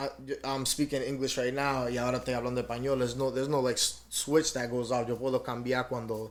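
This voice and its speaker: In a Spanish accent, a man rattles off words at a very fast pace, medium in pitch and monotone, flat in intonation. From Dominican Republic. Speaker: rapper. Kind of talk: podcast interview. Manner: casual, many fillers.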